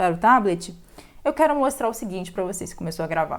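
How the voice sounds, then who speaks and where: A woman at a medium pitch swings very widely up and down in her pitch. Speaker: math teacher. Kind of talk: tutorial.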